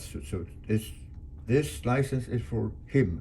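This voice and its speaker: Very slow, somewhat breathy speech in a Swedish accent, dark and mellow in tone with lively intonation. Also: man. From Sweden, Göteborg archipelago. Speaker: sailor. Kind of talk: casual storytelling. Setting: showing pictures.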